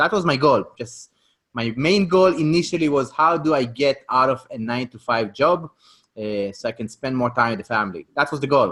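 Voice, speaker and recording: This man has an Israeli accent and a medium pitch with a bright, sharp tone. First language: Hebrew. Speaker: real estate investor. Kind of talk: podcast interview.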